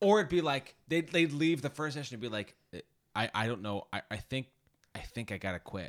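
A man with a medium pitch, an animated tone, very wide pitch swings and a fairly quick pace. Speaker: podcast host. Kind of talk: casual chat. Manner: joking, animated.

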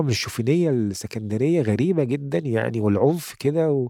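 This man's voice sits fairly high for a man, with a dark, mellow tone, lively intonation and a fairly quick pace. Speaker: poet and writer. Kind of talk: interview. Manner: halting.

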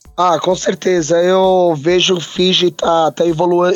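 Noticeable background noise sits behind a man speaking at a very slow pace. His voice is high in pitch. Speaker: rugby podcast co-host. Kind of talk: casual sports chat.

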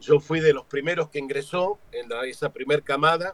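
A man speaks in an ordinary speaking voice, fairly high in pitch, at a moderate pace. His intonation is fairly even, and the sound is dry and close with no echo. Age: 50s. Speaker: stage actor and director. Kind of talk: interview.

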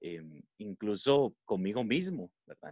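A man speaks at a medium pitch, his voice swinging very widely up and down. The sound is dry and close, with no echo. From Costa Rica, San José. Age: 20s. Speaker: podcast guest. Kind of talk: casual chat.

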